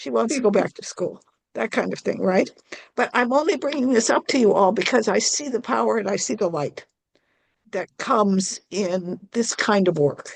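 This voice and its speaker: A woman's fairly high-pitched voice with vocal fry and lively intonation at a moderate pace. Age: 70s. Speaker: club member asking panel a question. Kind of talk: audience question in online panel. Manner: halting, repeats words.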